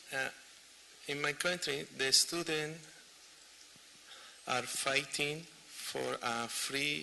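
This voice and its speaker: Amid noticeable background noise, a man with a fairly high pitch speaks at a very slow pace with fairly even intonation and long, frequent pauses. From Chile. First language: Spanish. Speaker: audience member asking a question. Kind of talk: Q&A question from audience. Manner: halting.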